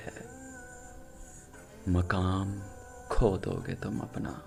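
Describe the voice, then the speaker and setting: Over music in the background, a man speaks with a very deep, low pitch and fairly even intonation. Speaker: poetry narrator. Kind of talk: poetry reading.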